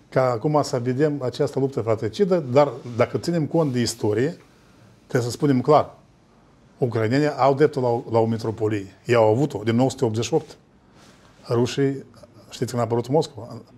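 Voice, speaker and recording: A man speaks at a moderate pace in a dark, mellow tone, with ordinary pitch variation and long, frequent pauses. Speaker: political analyst. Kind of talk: panel discussion on TV. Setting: studio. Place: studio.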